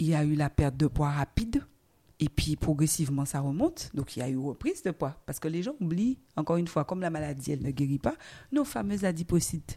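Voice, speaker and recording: A woman speaks at a very fast pace in a very deep, low pitch. Her tone is animated, with ordinary pitch variation. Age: 40s. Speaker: guest sharing her obesity journey. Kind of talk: testimony. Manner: animated, laughing.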